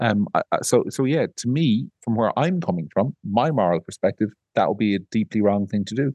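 A man's dark, mellow, fairly low voice with an Irish accent, lively intonation and a moderate pace, in a dry, close sound with no echo. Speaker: podcast host, media editor. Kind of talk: casual chat.

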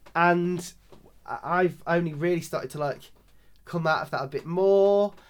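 A man with a Lincolnshire accent talks at a high pitch and a fairly slow pace, leaving long, frequent pauses. His intonation is monotone and flat. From rural Lincolnshire, England. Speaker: drag performer. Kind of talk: interview conversation.

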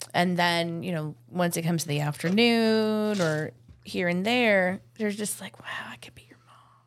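With an ordinary speaking voice, a woman talks at a fairly slow pace and a fairly low pitch, using ordinary pitch variation while her loudness swings widely. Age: 40s. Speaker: florist. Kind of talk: casual chat.

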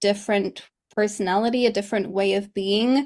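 Speaking with a Polish accent at a moderate pace, the voice stays monotone and flat in a very clean recording with a silent background. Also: woman. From Poland. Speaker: English teacher and coach. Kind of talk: interview.

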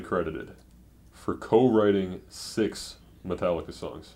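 A dark, mellow tone with an American accent at a fairly slow pace. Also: man. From US Midwest, suburban Detroit. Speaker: college radio DJ, podcast co-host. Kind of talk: casual chat. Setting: apartment bedroom.

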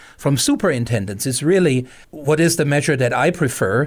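A man with a German accent, lively intonation, and moderate pace on a very clean recording with a silent background. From Germany. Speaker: outreach program director. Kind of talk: interview.

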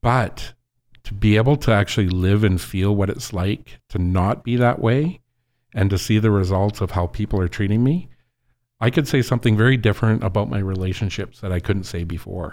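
In a very clean recording with a silent background, a man talks at a fairly quick pace with an ordinary speaking voice. His pitch is fairly low, with ordinary pitch variation. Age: 50s. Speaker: former inmate sharing his story. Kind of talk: interview testimony.

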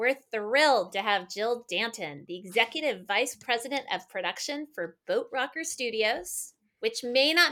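Her pitch is high and her intonation lively. This woman speaks at a moderate pace. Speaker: film office director and podcast host. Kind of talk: scripted narration.

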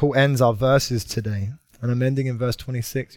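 A man with a British accent speaks at a medium pitch. His pace is moderate. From Britain. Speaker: pastor. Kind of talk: sermon. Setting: church. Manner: usually energetic and over the top.

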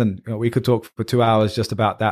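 Here a man talks with a British accent. His pitch is medium. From England. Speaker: podcast host. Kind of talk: casual chat.

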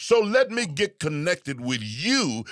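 A man's bright, sharp voice with very wide pitch swings, in a very clean recording with a silent background. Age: 60s. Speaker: pastor. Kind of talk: casual chat. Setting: studio.

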